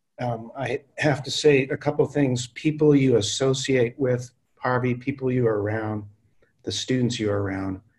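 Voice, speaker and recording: Against a quiet background, a man talks in a medium pitch. His voice is somewhat breathy, with fairly even intonation. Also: moderate pace. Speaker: university dean and moderator. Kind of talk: moderated discussion. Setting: video call. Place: home room. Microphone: video call.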